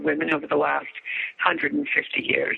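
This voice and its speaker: A woman speaks over noticeable background noise. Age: 60s. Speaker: author and hormone educator. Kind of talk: interview.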